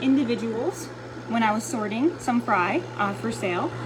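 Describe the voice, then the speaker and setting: Background noise is noticeable throughout. A woman talks at a medium speed. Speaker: aquarium fish breeder and curator. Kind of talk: informal video tutorial. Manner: loud, shouting; hesitant, many fillers. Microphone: no microphone.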